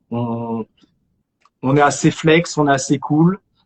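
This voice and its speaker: Fairly even in intonation, this man's voice sits fairly high. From France, Argenteuil (Paris suburbs). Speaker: actor. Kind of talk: casual chat. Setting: live stream. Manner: halting, many repetitions.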